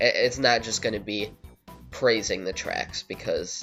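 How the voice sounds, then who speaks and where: Music plays behind a man speaking at a moderate pace. His pitch sits in the medium range. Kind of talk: casual video game commentary.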